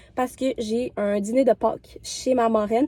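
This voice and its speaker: Ordinary pitch variation in a Quebec accent, with a dry, close sound and no echo. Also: woman. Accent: Québécois French. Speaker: vlogger. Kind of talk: casual vlog talk to camera. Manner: chatty, many filler hesitations.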